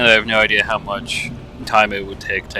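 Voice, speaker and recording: A man talks at a fairly quick pace, with noticeable background noise present. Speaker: gaming let's play youtuber. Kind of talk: gameplay commentary. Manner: monotone.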